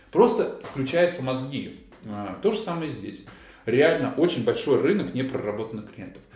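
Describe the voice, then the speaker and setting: A man with a medium pitch speaks in an animated tone with lively intonation. Noticeable background noise and audible room echo come through. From Russia, Vladimir region (Kolchugino). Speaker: event sales director. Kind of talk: casual interview.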